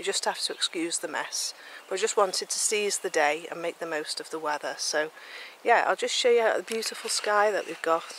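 Over light background noise, a woman talks at a fairly quick pace, the sound dry with no echo. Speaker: knitting podcast host. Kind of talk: casual vlog chat. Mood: calm, relaxed. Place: garden. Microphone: phone near.

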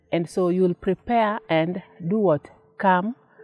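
There is faint music in the background as a woman speaks at a fairly slow pace in a dry sound with no echo. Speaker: interviewee. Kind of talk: interview answer. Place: garden.

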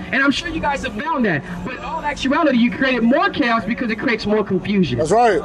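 Music plays in the background while a man talks. He goes at a very fast pace with hardly any pauses. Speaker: street preacher. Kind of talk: street preaching, confrontational Bible-based debate with passers-by. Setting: outdoors, street, talking with a crowd or passers-by. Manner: forceful, relentless interrogating, rapid-fire pointed questions; scolding, lecturing, formal vocabulary. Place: street. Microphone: handheld.

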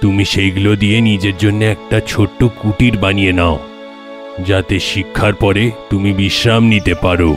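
A cartoonish character voice talks at a moderate pace with clear music playing in the background. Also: man, fairly low pitch for a man. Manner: calm, kindly.

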